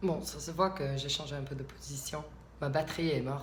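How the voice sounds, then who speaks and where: A woman with an American accent at a moderate pace, with ordinary pitch variation, audible room echo and noticeable background noise. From US South, Alabama. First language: English (speaking French). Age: 20s. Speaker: vlogger. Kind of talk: casual vlog monologue. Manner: halting, many hesitations.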